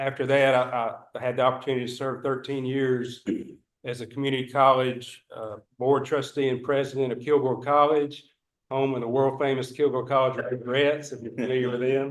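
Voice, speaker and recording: With a Northeast Texas accent, a man talks at a fairly quick pace in a medium-pitched, monotone, flat voice. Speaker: board candidate. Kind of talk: candidate self-introduction at public meeting. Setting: public meeting.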